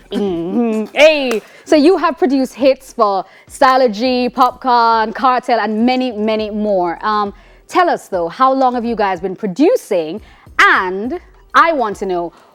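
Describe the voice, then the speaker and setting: A woman's fairly high voice with lively intonation at a fairly slow pace, music in the background. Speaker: TV host. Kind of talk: TV interview.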